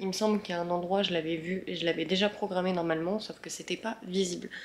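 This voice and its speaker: Over noticeable background noise, a woman at medium pitch speaks at a very fast pace in a monotone, flat way. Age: 20s. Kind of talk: casual vlog. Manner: hesitant, many fillers.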